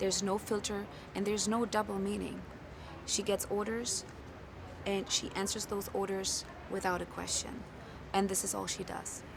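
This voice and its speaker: Long, frequent pauses break up a woman's speech, which moves at a moderate pace. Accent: German. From Germany. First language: German. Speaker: film actor. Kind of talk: press interview.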